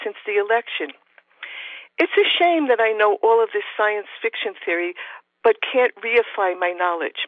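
With a New York accent, a woman with a fairly high voice speaks at a fairly slow pace with lively intonation. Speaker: professor and author of feminist science fiction. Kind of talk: interview, with a reading aloud of her own short story.

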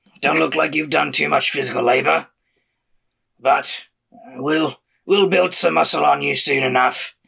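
Using a put-on character voice, a man talks at a medium pitch and moderate pace, raspy and gravelly, with long, frequent pauses. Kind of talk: gruff.

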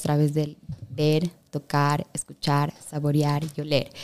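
This woman has a very deep, low pitch and a dark, mellow tone. The recording is dry and close, without any echo. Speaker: travel journalist. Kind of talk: interview conversation.

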